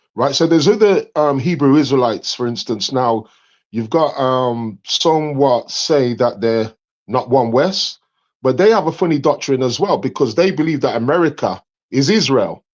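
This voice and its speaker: A man with an English accent speaks at a moderate pace in a fairly high pitch. His intonation is lively, and the background is quiet. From England. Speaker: caller on live debate stream. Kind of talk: casual debate discussion. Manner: hesitant, many fillers.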